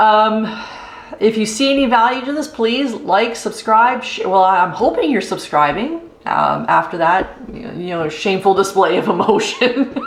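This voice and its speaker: The speech moves at a fairly slow pace with lively intonation. An audible room echo and noticeable background noise are present. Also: woman, fairly high pitch for a woman. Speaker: camping YouTuber. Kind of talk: casual vlog outro. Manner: halting, many fillers.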